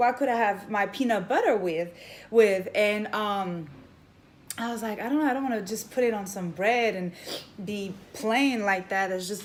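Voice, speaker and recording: The woman's fairly high voice shows ordinary pitch variation, and audible room echo surrounds it. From France. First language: French. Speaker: vlogger. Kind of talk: casual vlog monologue.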